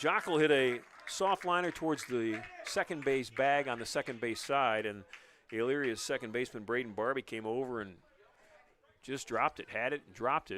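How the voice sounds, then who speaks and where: With an American accent, a man speaks in a normal speaking voice at medium pitch, with ordinary pitch variation and a moderate pace. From northern Ohio, US. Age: 60s. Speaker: baseball play-by-play announcer. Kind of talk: live sports commentary. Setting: live radio and stream broadcast.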